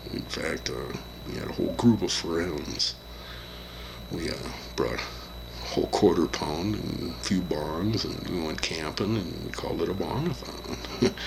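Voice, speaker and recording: A man's very deep, low voice with very wide pitch swings at a fairly slow pace, amid audible room echo and noticeable background noise. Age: 60s. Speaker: vlogger. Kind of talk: casual chat. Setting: hotel room. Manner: halting.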